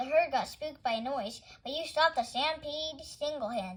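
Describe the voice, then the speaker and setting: Put-on character voice from a high-pitched woman, moderate pace, ordinary pitch variation. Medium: read story.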